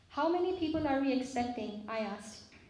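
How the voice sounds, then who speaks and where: A woman speaks at a moderate pace in a high pitch. Noticeable background noise and audible room echo are present. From Pakistan. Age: 40s. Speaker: physician. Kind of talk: personal testimony talk to a congregation.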